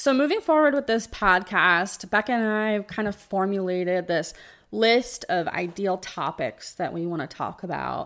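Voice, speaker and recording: A woman's unremarkable speaking voice at a medium pitch, with an American accent, lively intonation and a moderate pace, on a very clean recording with a silent background. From New Jersey. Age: 20s. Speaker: podcast co-host with chronic illness. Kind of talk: casual chat.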